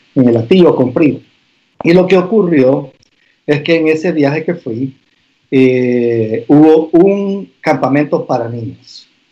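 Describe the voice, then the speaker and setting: At a very slow pace, a man speaks with a dark, mellow tone, his fairly high pitch showing ordinary variation. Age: 50s. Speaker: pastor and business owner. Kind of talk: casual interview conversation.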